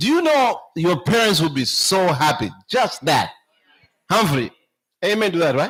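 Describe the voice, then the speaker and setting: A high-pitched man's voice at a fairly slow pace, with very wide pitch swings, very even loudness and long, frequent pauses. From Zambia. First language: a Zambian language. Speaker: speaker at church camp meeting. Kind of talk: talk to children at camp meeting.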